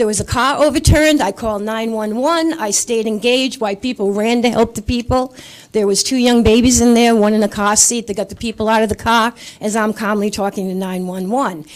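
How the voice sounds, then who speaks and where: With a Rhode Island accent, a woman speaks at a fairly quick pace in a fairly high voice with ordinary pitch variation. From Rhode Island, Coventry. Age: 60s. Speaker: resident speaking at public comment. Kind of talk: public comment at council meeting.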